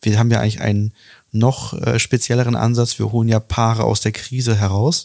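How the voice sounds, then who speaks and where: This man talks at a fairly quick pace with a medium pitch. He has an ordinary speaking voice. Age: 30s. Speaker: relationship coach and podcast host. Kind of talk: casual interview.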